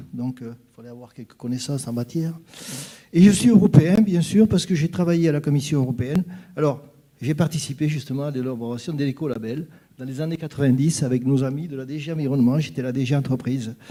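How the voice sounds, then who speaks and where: Talking at a very fast pace, a man with a fairly high pitch uses ordinary pitch variation while his loudness swings widely. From southwest France (Gers). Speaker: association president, panelist. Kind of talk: panel talk at a conference. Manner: hesitant, many fillers and repetitions.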